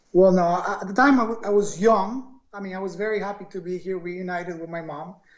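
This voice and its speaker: The speaker talks at a fairly quick pace with a Spanish accent. There are hardly any pauses. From Ecuador, Quito. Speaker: entrepreneur. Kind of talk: interview.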